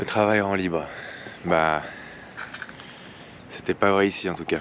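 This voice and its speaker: Against noticeable background noise, a man with a very deep, low pitch speaks with fairly even intonation. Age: 30s. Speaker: travel vlogger. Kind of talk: travel vlog. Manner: halting, many fillers.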